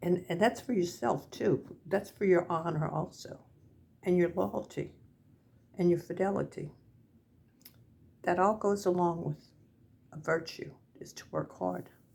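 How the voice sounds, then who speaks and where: A woman with an American accent speaks at a fairly low pitch with vocal fry and ordinary pitch variation. Her loudness swings a lot, and she takes long, frequent pauses. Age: 70s. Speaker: senior vlogger. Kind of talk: casual talk to camera. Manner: halting.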